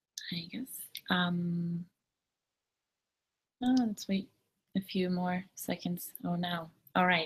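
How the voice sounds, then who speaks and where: A woman speaks very slowly in a fairly low, somewhat breathy voice. Long, frequent pauses break up her fairly even intonation. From Germany. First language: German. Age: 20s. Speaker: au pair. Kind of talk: live webinar talk. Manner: hesitant, many fillers.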